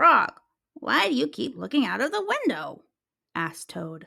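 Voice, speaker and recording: The voice is a put-on character from a woman. It sits high in pitch. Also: moderate pace. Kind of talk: children's story read-aloud. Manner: glum, grumpy.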